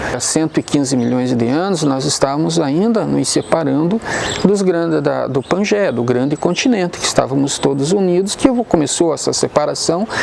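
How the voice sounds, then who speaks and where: A moderate pace amid noticeable background noise. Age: 60s. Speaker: science explainer. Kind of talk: educational explanation on location. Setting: outdoors at crater viewpoint. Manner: measured, with hesitations.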